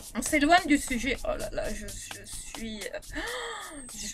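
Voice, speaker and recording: A woman with a Réunion accent speaks at a fairly slow pace against noticeable background noise. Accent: Réunion Creole French. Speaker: beauty vlogger. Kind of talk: product review vlog. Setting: bedroom.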